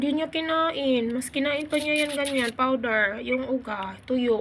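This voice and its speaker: A woman speaks in a raised, projected voice with high pitch. Her pace is fairly slow, and her pitch varies in an ordinary way. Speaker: vlogger. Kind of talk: casual vlog narration. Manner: hesitant, many fillers.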